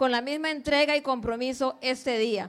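This woman has a high-pitched voice and fairly even intonation. She keeps a moderate pace. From Limón, Costa Rica (born in Guanacaste). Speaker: school principal. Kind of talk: speech to students at school assembly. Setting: school assembly.

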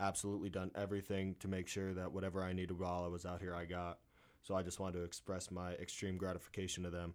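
Very fast and with a monotone, flat intonation, a man with an American accent speaks in a very deep, low voice. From Pennsylvania (Moscow). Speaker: college baseball player. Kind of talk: casual interview.

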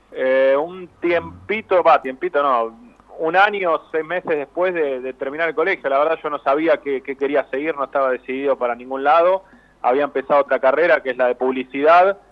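Speaking at a fairly quick pace, a man has a fairly high pitch. His pitch variation is ordinary. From Argentina, Avellaneda (Buenos Aires area). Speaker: sports journalist. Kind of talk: interview. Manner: halting, repeats words.

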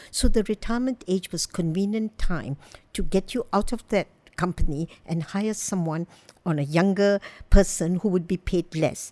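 At a moderate pace, a woman with a medium pitch speaks in a dark, mellow tone with lively intonation. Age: 70s. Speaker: orthopedic surgeon and aging advocate. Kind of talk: panel discussion.

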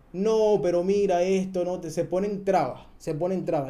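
Audible room echo surrounds a man whose high pitch comes with a dark, mellow tone. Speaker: podcast host. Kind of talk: casual chat.

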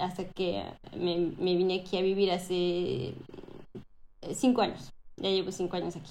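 A woman with a Mexican accent speaks at a medium pitch, with audible room echo. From Mexico, Cancún (born Mexico City, moved at 11). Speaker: Mexican expat living in France. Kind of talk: casual interview chat.

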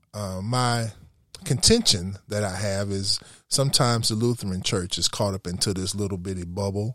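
In a plain, everyday voice, a man talks at a moderate pace with a fairly low pitch and fairly even intonation, recorded very cleanly against a silent background. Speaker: pastor. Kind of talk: casual interview conversation.

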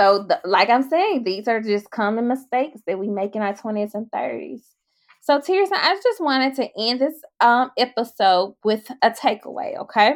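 A woman with a Mississippi accent, fairly high-pitched, at a moderate pace with lively intonation. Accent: US Southern (Mississippi). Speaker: podcast host. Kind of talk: casual chat.

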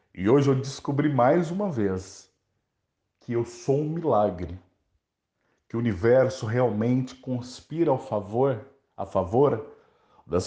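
Speaking at a very slow pace, a man with a medium pitch and a dark, mellow tone sounds somewhat breathy, with lively intonation. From Brazil, interior of Minas Gerais. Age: 30s. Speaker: journalist and campaign founder. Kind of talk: interview monologue.

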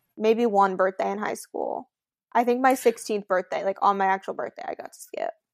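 A woman speaks fairly quickly in an unremarkable speaking voice, fairly high in pitch with ordinary pitch variation. The sound is dry and close with no echo, and her loudness swings widely. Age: 20s. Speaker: podcast co-host. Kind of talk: casual chat. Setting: video recording from her bedroom.

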